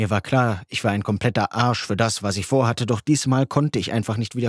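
This recording is simply plain reading aloud.

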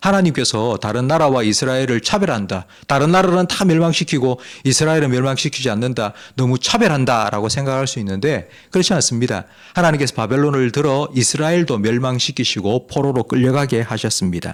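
The speaker has a plain, everyday voice and talks at a fairly quick pace. The recording is very clean, with a silent background. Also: man, medium pitch for a man. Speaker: pastor. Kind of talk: sermon.

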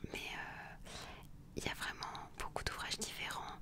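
The speaker is whispering. The tone is calm. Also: woman. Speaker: ASMR and meditation content creator reading aloud. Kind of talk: casual talk to camera, book presentation. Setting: outdoors, wind audible. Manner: soft, calm, conversational. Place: home room. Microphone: studio mic.

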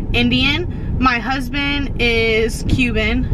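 Noticeable background noise sits behind the voice. The speaker is a woman. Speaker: vlogger. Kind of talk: casual vlog chat. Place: car. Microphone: phone near.

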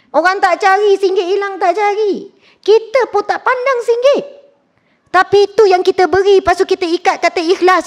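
Loud and extremely high-pitched, a woman speaks at a moderate pace with ordinary pitch variation in a dry, close sound with no echo. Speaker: religious teacher. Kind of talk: sermon. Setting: mosque lecture with live audience. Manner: loud, high-pitched; animated.

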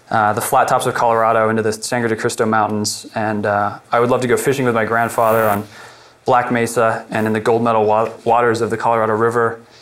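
At a very fast pace, a man talks with very even loudness and monotone, flat intonation. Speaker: presenter. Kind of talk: presentation talk. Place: meeting room. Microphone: lapel.

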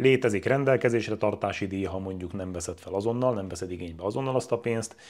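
A man talks at a very fast pace with a fairly low pitch and ordinary pitch variation. The background is quiet. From Hungary. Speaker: real estate agent. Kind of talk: tutorial. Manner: casual. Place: home room. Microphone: lapel.

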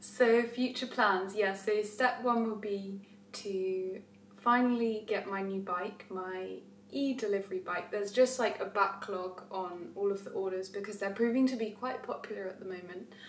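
Against light background noise, a woman's voice carries audible room echo. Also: fairly even intonation, moderate pace. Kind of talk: casual vlog chat, Q&A answers. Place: kitchen. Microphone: camera far.

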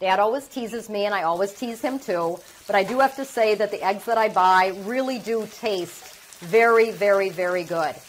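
Moderate-paced speech from a woman with ordinary pitch variation, under light background noise. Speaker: cooking show host. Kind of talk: tutorial. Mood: cheerful, chatty. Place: kitchen. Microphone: lapel.

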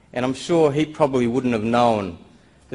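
A man with ordinary pitch variation. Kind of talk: conference presentation. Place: hall. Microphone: podium.

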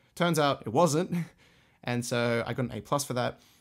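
Heard on a very clean recording with a silent background, a man speaks at medium pitch with an Australian accent. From Australia, Sydney. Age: 20s. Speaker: music teacher and orchestra conductor. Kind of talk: solo podcast monologue. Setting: home music room, condenser mic. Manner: casual, hesitant with fillers.

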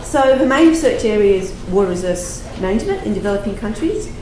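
A woman with an Australian accent talks at a fairly quick pace with lively intonation, over noticeable background noise and audible room echo. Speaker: session chair and research consultant. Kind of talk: conference introduction and Q&A moderation. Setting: conference room with audience. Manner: hesitant, many fillers. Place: meeting room.

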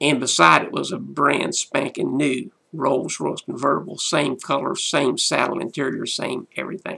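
The man talks at a fairly slow pace. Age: 60s. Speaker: pastor. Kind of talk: motivational talk. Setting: solo video to camera. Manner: animated. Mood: warm, amused storytelling. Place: home room. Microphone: webcam.

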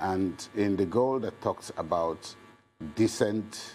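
A man at a very slow pace with ordinary pitch variation, music playing behind him. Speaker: guest. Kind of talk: interview answer. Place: studio.

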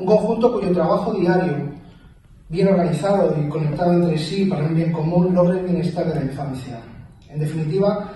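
With strong room echo and light background noise, a man with a high voice speaks at a fairly quick pace in fairly even intonation. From Spain. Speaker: mayor. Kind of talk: formal speech. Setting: council chamber with audience. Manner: formal. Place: hall.

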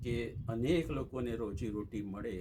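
A man with a fairly low, dark, mellow voice and vocal fry speaks with ordinary pitch variation. Audible room echo surrounds him. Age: 80s+. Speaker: magazine editor. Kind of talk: interview.

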